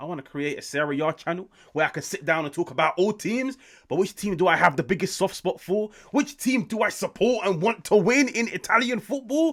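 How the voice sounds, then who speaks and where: A man with a British accent and a high pitch, animated in tone, his pitch swinging very widely at a fairly quick pace, in a very clean recording with a silent background. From UK. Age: 20s. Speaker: football YouTuber. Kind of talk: football match reaction and analysis.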